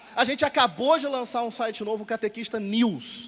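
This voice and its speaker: In a Rio de Janeiro accent, a man talks at a fairly quick pace with a high-pitched voice. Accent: carioca. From Rio de Janeiro, Brazil. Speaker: catechist and editor, radio host. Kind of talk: talk show interview on stage.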